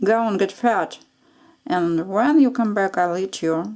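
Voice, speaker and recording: On a very clean recording with a silent background, a woman uses a put-on character voice at a medium pitch and a fairly slow pace. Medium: read story. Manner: growling, greedy.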